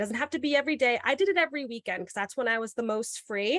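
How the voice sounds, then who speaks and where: A woman with a slight New York accent on a very clean recording with a silent background. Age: young. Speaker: podcast host and middle school teacher. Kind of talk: podcast interview.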